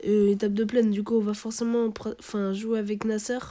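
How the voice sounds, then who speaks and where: A dark, mellow tone at a moderate pace. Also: woman. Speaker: gaming youtuber. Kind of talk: gameplay commentary. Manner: hesitant, many fillers.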